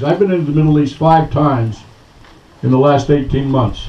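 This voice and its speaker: Amid noticeable background noise, a man with a fairly high voice talks at a fairly quick pace with fairly even intonation. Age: 70s. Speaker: retired army general. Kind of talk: speech at outdoor political picnic. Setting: outdoor picnic with crowd.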